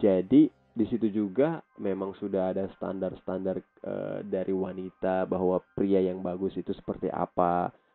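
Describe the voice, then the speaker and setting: A man's very deep, low voice in a monotone, flat delivery, with music in the background. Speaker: vlogger. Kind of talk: personal commentary vlog. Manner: hesitant, many fillers.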